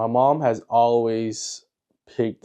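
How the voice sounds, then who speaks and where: A man's dark, mellow tone in an American accent. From United States. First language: Mandarin Chinese. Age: 20s. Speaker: YouTuber. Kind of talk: personal documentary narration.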